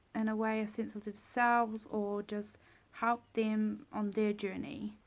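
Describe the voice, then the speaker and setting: At a fairly slow pace, a woman speaks in a New Zealand accent with a fairly high pitch. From New Zealand, Taupo. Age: 20s. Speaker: vlogger. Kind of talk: casual vlog talk. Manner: hesitant, with many fillers.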